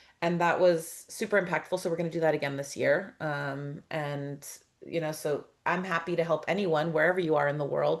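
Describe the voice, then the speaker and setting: Here is an ordinary speaking voice at a moderate pace. The background is quiet. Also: woman. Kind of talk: webinar panel discussion.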